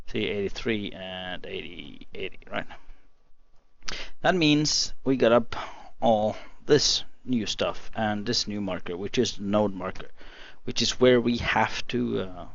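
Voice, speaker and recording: In a non-native accent, a man speaks at a fairly slow pace and a fairly low pitch with ordinary pitch variation, leaving long, frequent pauses in a room with audible echo. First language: not English. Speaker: gaming youtuber. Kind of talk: gameplay tutorial. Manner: halting, many fillers.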